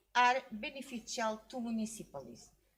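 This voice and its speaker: A woman's fairly high voice with a Portuguese accent, at a moderate pace. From Portugal. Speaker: academic researcher. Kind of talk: conference presentation Q&A. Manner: halting, many hesitations.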